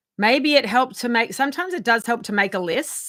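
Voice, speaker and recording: A woman with a bright, sharp tone, lively intonation and a very fast pace. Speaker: wellness coach / channel host. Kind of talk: casual talk to camera, self-help tips. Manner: casual, hesitant with fillers.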